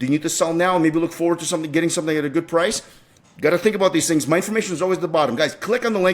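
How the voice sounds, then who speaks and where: A man speaks at a very fast pace in an animated tone. His voice is high with ordinary pitch variation. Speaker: realtor. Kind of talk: market update video monologue.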